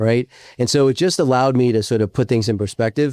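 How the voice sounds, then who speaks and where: A raspy male voice at a very fast pace, ordinary in pitch variation, with a dry, close sound and no echo. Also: very clean recording, silent background. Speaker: entrepreneur and podcast host. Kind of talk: interview conversation.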